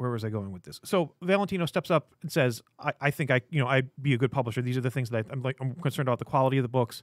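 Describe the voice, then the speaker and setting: A man at a medium pitch, very fast and with hardly any pauses, ordinary pitch variation, and a dry, close sound with no echo. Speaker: comic shop podcast host. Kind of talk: casual chat.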